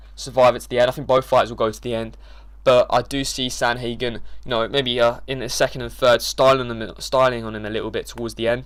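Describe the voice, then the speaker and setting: A man talks at a fairly quick pace. He mumbles his words. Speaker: MMA YouTuber giving fight predictions. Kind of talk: casual fight predictions monologue. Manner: mumbling, many filler words.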